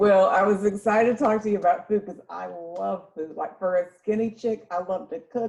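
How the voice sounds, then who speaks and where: A woman with a slight Southern accent speaks at a moderate pace in a medium pitch, her dark, mellow tone somewhat breathy. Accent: slight southern twang. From North Florida (Jacksonville). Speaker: podcast host, massage therapist. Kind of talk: casual chat.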